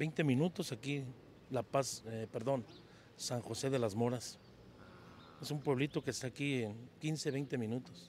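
A man speaks at a fairly slow pace with ordinary pitch variation and long, frequent pauses, in a dry sound with no echo and light background noise. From Mexico, Jalisco (La Barca); Jalisco, Mexico. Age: 50s. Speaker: singer and mechanic; interviewee. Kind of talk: interview. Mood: cheerful, smiling. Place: street. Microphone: handheld.

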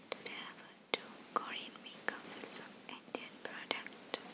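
A woman speaks in a whisper. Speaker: ASMR creator. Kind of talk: ASMR personal attention roleplay. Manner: soft-spoken. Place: home room. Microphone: phone near.

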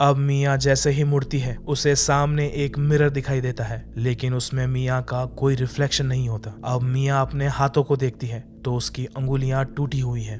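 Through noticeable background noise, a man speaks at medium pitch with monotone, flat intonation and hardly any pauses. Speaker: movie explainer narrator. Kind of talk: horror movie recap narration, scary story told in Hindi.

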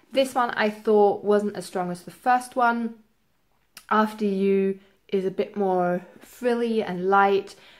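A woman with fairly even intonation against a quiet background. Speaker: book vlogger. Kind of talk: casual vlog chat. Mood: relaxed, expressive. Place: home room.

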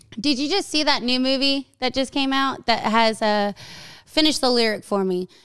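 Against a quiet background, a woman with a high voice speaks in an animated tone with ordinary pitch variation. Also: moderate pace. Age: 30s. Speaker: podcast host. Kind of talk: casual chat. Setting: studio. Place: studio. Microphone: studio mic.

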